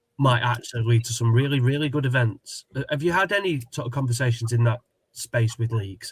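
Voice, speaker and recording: Here a man talks in a Sussex accent at a fairly quick pace. His medium-pitched voice is somewhat breathy, with ordinary pitch variation. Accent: local Sussex. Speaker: football show host. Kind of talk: casual chat.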